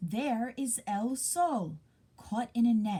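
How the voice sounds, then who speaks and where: Using a put-on character voice, a woman speaks at a very slow pace with a fairly high pitch. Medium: read story.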